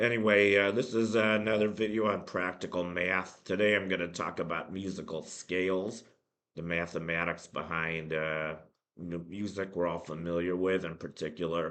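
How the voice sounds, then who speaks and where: A man talks at a moderate pace with a very deep, low pitch and fairly even intonation. Audible room echo surrounds his voice. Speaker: math educator. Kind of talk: lecture. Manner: halting, many fillers.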